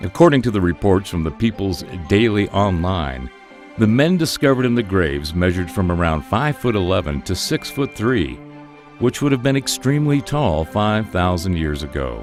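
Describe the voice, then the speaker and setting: With music playing in the background, a man with an American accent speaks in a fairly low voice that swings very widely in pitch. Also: moderate pace. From United States. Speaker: voice actor. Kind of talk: radio news read.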